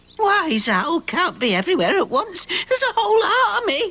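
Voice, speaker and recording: An extremely high-pitched cartoonish character voice at a moderate pace. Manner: chatty, excitable.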